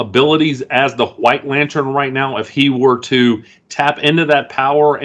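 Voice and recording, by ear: The intonation is fairly even. A person is reading aloud in a natural voice.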